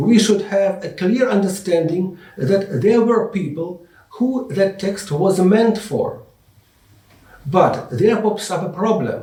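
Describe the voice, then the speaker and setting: A high-pitched man with a non-native accent speaks very slowly, with audible room echo around him. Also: ordinary pitch variation. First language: not English. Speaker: English teacher and Bible lecturer. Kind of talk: lecture.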